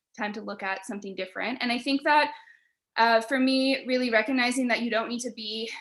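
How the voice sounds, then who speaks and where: Against a quiet background, a woman talks loudly at a fairly quick pace. Her voice sits at a high pitch with fairly even intonation. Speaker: panelist. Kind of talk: panel discussion. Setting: video call.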